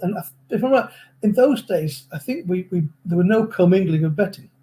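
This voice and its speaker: A man with an English accent talks at a very fast pace. His tone is dark and mellow, and his pitch is high. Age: 70s. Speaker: horse racing analyst. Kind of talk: interview. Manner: halting.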